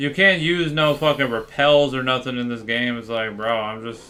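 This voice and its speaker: Against music in the background, a man with an American accent speaks at a medium pitch and moderate pace with ordinary pitch variation. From Florida, US. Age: 20s. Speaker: gaming streamer. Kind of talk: casual livestream chat. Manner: casual, filler-heavy.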